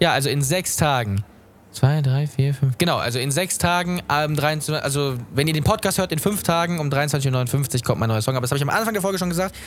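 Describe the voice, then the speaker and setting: Amid noticeable background noise, a man talks at a fairly quick pace with a fairly high pitch and ordinary pitch variation. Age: young. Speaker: podcast host and musician. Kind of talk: casual chat.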